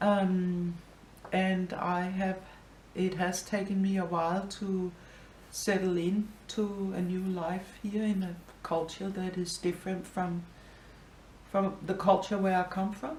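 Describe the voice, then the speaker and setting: A woman speaks with a Danish accent in a monotone, flat intonation, leaving long, frequent pauses. Audible room echo surrounds her voice. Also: medium pitch for a woman, fairly slow pace. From Denmark, Copenhagen. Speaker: interviewee, immigrant. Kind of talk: interview. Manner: hesitant, many fillers.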